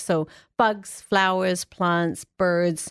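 Dry, close sound with no echo and a very clean recording, silent background. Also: woman. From England. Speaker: science centre outreach manager. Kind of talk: casual radio interview. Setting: radio studio.

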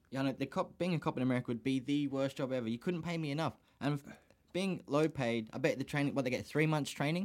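Speaking very fast with an Australian accent, a man uses a fairly high pitch and ordinary pitch variation. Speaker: podcast host. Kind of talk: casual chat. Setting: studio.

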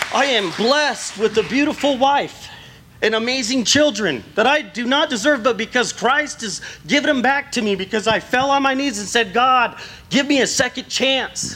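Using a raised, projected voice, a man with an American accent speaks at an extremely high pitch. His pace is moderate and his pitch variation ordinary. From Southern California. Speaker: church member. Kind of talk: testimony. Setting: church.

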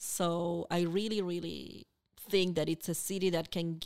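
Very clean, with a silent background, the recording holds a woman's fairly low voice in an Argentine accent. She speaks at a fairly slow pace with fairly even intonation. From Argentina, Buenos Aires. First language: Spanish. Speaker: university international student program coordinator. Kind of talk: podcast interview.

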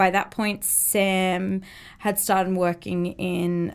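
Heard in a very clean recording with a silent background, a woman speaks with an Australian accent. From Australia, Brisbane. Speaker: business owner. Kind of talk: casual chat.

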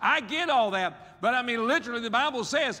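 A man with an Appalachian accent talks at a fairly quick pace in a raised, projected voice. His pitch is extremely high. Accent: Appalachian US Southern. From West Virginia. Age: 60s. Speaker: pastor. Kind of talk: sermon.

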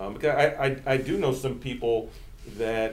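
With an American accent, a man speaks at a moderate pace with ordinary pitch variation, and audible room echo surrounds his voice. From central Virginia, US. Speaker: imam and civil rights advocate. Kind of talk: podcast interview. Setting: office.

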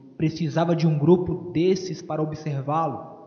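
The man's pitch is high. Noticeable background noise sits behind him. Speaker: preacher. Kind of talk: sermon. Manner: fervent, emphatic pulpit delivery, appealing to the congregation.

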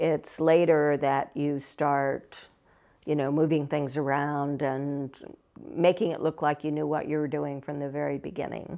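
Against a quiet background, a woman with a Midwestern American accent speaks at a fairly slow pace in a very deep, low voice with a dark, mellow tone and monotone, flat intonation. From Ohio. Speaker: fantasy novelist. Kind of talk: interview.

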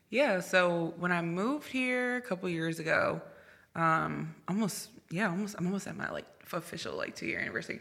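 A woman with an American accent speaks at a fairly quick pace in a fairly low pitch, her bright, sharp tone edged with vocal fry and ordinary pitch variation. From Virginia and New Jersey, US East Coast. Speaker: journalist. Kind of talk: casual chat.

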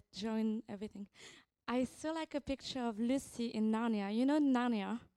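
In a French accent, a woman with a fairly high pitch and a dark, mellow tone speaks at a moderate pace with fairly even intonation, the sound dry and close with no echo on a very clean recording with a silent background. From France. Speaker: visiting prophetic minister. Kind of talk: prophetic ministry in church service. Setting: church.

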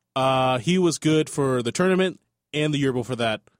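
A man with a normal speaking voice, lively intonation and a fairly quick pace. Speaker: sports podcast co-host. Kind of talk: casual sports chat. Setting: studio. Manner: joking, upbeat.

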